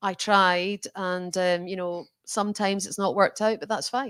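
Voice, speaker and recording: With a Scottish accent, a woman speaks at a moderate pace in a medium pitch with monotone, flat intonation, in a very clean recording with a silent background and a dry, close sound with no echo. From Scotland. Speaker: bank chief executive. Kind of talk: interview conversation.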